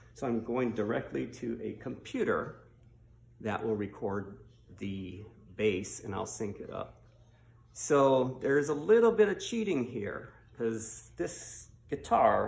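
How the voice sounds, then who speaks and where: A man's relaxed tone at a very slow pace, with big swings in loudness and audible room echo. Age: 60s. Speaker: hobbyist bass player and video maker. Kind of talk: casual tutorial. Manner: relaxed, with fillers.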